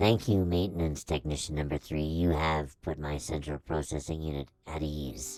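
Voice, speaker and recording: A man uses a put-on character voice with a very deep, low pitch. He speaks at a moderate pace over music in the background. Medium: audio drama. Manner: earnest, formal, literal.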